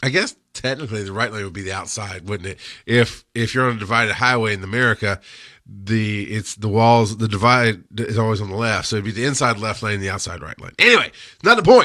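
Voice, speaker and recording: On a very clean recording with a silent background, a man with a fairly low pitch and a bright, sharp tone speaks at a fairly quick pace with fairly even intonation. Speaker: paramedic educator and show host. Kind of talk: live-stream rant and Q&A. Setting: studio, Facebook live stream. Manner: halting, self-correcting.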